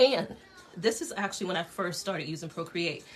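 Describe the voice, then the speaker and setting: Against noticeable background noise, a woman with a fairly low voice speaks at a fairly quick pace. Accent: American. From Connecticut. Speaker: dress designer teaching a sketching class. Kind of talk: online class tutorial. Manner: fast; casual, with many fillers.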